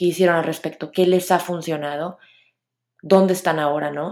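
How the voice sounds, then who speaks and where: Here is a woman with an unremarkable speaking voice, fairly low in pitch. She keeps a moderate pace and fairly even intonation. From Mexico, Monterrey. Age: 30s. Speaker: podcast host. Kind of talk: solo podcast monologue.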